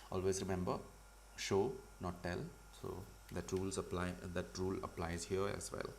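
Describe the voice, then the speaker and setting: Long, frequent pauses at a moderate pace, ordinary pitch variation, and noticeable background noise. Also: man, very deep, low pitch for a man. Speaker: comic artist teaching a livestream. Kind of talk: live tutorial. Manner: loud. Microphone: audio was too quiet at first.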